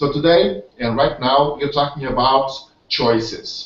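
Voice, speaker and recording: A man speaks with a Portuguese accent. His pitch is fairly high and his pace very slow. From Portugal. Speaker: webinar host, network marketer. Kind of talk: online hangout presentation. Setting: video call. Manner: halting, many fillers and repetitions.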